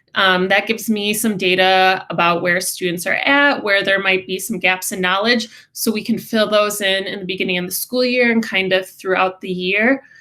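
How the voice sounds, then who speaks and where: A woman with an American accent, a bright, sharp tone, fairly even intonation, and a moderate pace on a very clean recording with a silent background. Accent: Midwest accent, according to others. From Wisconsin, US Midwest. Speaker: special education teacher. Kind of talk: class information presentation.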